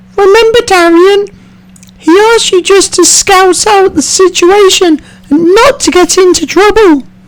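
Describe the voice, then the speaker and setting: Using a put-on character voice, a man speaks in an extremely high, squeaky pitch at a moderate pace. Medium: machinima. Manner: level-headed, cautionary.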